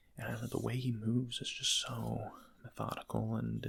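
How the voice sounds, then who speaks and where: A soft-spoken voice at a moderate pace. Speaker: ASMR creator. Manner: whispering.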